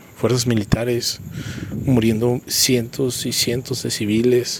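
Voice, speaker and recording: A man with a central Mexican accent talks very slowly in a monotone, flat intonation. There is noticeable background noise. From Mexico, Querétaro. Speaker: podcaster and motivational speaker. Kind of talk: solo podcast monologue, reflective commentary.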